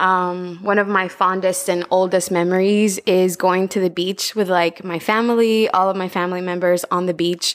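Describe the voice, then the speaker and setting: Woman in a Spanish accent, medium pitch, monotone and flat intonation, moderate pace. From Honduras, Tegucigalpa. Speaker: marine biologist and outreach coordinator. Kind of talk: interview.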